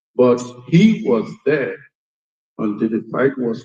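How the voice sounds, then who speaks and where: Speaking at a very slow pace, a man with a Nigerian accent has a medium pitch and a dark, mellow tone. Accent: Nigerian Igbo English. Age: 70s. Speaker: war veteran. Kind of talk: testimony.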